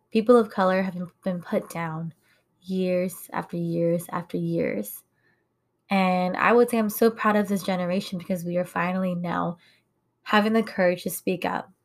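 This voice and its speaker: A woman speaks with an American accent at medium pitch and fairly even intonation. The recording is very clean, with a silent background. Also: moderate pace. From United States, Hmong American community. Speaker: podcast host. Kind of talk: personal monologue podcast. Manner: casual, conversational with fillers and laughs.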